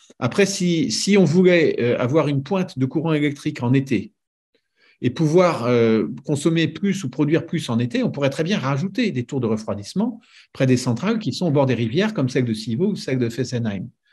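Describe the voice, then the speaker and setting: Against a quiet background, a man with a fairly high pitch talks at a moderate pace, somewhat breathy and with lively intonation. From France, Paris region; France. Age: 60s. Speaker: nuclear engineer; guest. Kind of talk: casual interview. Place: home room. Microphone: video call.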